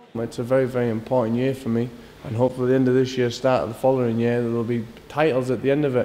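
With a Scottish accent, a man talks at a very fast pace. His pitch is medium and his intonation monotone and flat. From Scotland. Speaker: professional boxer. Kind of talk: interview answer. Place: gym.

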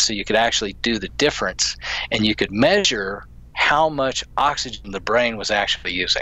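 A man's bright, sharp tone with vocal fry, ordinary pitch variation, and a dry sound with no echo. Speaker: guest. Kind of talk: interview answer. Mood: enthusiastic, smiling. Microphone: video call.

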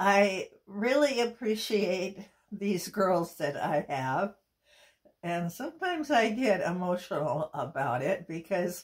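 A woman speaks at a very slow pace with very wide pitch swings. The background is quiet. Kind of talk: personal video message. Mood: emotional, grateful. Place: home room. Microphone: phone near.

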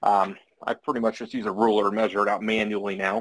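The speaker is a man going very fast. Some light noise can be heard in the background. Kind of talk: interview answer. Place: workshop. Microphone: video call.

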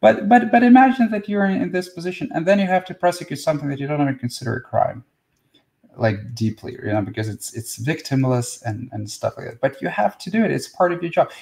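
A man at a very fast pace and fairly high pitch, with very wide pitch swings and big swings in loudness, against a quiet background. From Russia. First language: Russian. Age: 40s. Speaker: spiritual teacher. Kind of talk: live stream talk and Q&A. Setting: live video stream. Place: home room. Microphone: webcam.

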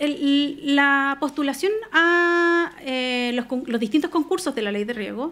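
Her pitch rises and falls in an ordinary way. The woman's voice is high-pitched. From Chile, La Serena (Coquimbo region); Chile. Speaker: lawyer, regional irrigation official; lawyer. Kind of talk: radio interview. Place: studio. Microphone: studio mic.

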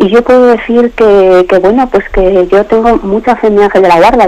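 Over noticeable background noise, a woman speaks at a fairly quick pace and a medium pitch, with ordinary pitch variation. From León, Spain. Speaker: radio caller. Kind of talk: testimony. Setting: phone call.

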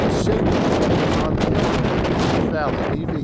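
A man speaking at a very slow pace over loud background noise. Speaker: travel vlogger. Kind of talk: casual vlog narration. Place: open country. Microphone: phone near.

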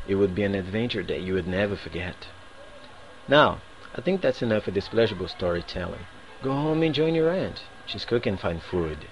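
A man with a strong Brazilian accent and a fairly low pitch, very wide pitch swings, a fairly quick pace broken by long, frequent pauses, and light background noise. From Northeast Brazil. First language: Portuguese. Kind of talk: reading a set passage aloud. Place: home room. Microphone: webcam.

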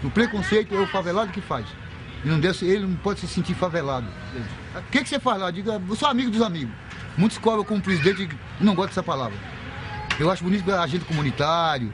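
Speaking at a very fast pace with lively intonation, the speaker leaves long, frequent pauses over noticeable background noise. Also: man, high pitch for a man. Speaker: community association president. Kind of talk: interview. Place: street.

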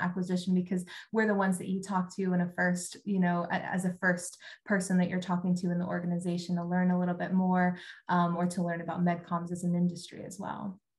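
A woman's somewhat breathy voice at a very fast pace, with a quiet background. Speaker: talent acquisition recruiter. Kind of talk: casual interview. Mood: friendly, relaxed. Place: home room. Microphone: video call.

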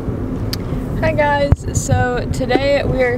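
A woman's voice, dry with no echo, against loud background noise. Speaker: vlogger. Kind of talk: casual vlog chat. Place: car. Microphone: phone near.

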